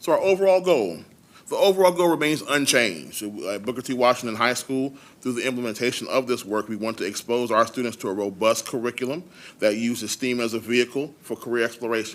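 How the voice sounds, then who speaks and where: A man talks at a very fast pace. His medium-pitched voice has lively intonation. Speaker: high school principal. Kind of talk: presentation. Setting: school board meeting.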